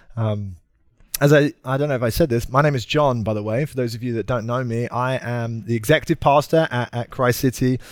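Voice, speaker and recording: Speech moves at a fairly quick pace. The pitch rises and falls in an ordinary way. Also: man, very clean recording, silent background. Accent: British. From Britain. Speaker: pastor. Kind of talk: sermon. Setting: church. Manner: usually energetic and over the top.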